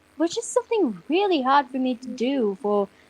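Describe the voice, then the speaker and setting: With an American accent and very wide pitch swings, this voice comes through in a dry, close sound with no echo. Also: woman. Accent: can switch between American and British. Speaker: fan-series voice actor. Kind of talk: casual chat.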